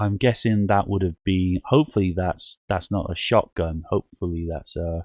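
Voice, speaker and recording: The sound is dry and close, with no echo, as a man speaks with a very deep, low pitch and ordinary pitch variation. He keeps a moderate pace with hardly any pauses. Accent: northern English. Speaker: paranormal call-in show host. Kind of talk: casual chat. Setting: live radio show. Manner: halting.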